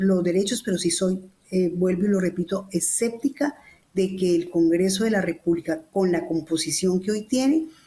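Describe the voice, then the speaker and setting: A woman speaks at a medium pitch and a moderate pace. Her pitch variation is ordinary, and background noise is noticeable. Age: 60s. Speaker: professor. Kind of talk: panel debate. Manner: halting.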